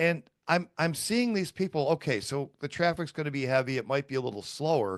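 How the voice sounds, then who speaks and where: A man speaks at a moderate pace with fairly high pitch and ordinary pitch variation. It is a normal speaking voice over a quiet background. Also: dry, close sound with no echo. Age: 50s. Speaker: podcast host. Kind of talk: casual chat.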